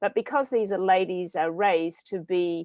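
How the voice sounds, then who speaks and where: A woman with a medium pitch speaks in an Australian accent. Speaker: business owner. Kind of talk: panel discussion.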